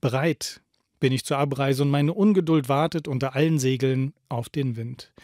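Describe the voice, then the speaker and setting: A man's fairly high, solemn voice with ordinary pitch variation, dry with no echo against a quiet background. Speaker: radio host reading a book aloud. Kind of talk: dramatic literary reading aloud, solemn poetic narration of a prophet's speech. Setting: radio studio broadcast. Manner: slow, solemn, expressive, emphatic delivery with pauses. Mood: calm, solemn, poetic delivery. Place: studio. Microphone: studio mic.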